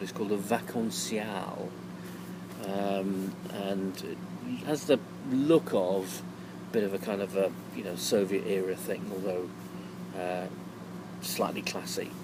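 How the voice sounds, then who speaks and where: Someone with an English accent speaks in a relaxed tone, the pitch swinging very widely. Long, frequent pauses break up the speech, and there is noticeable background noise. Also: man. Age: 60s. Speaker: touring cyclist vlogger. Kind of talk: casual video diary. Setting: outdoors at holiday resort in evening. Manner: relaxed, hesitant with fillers.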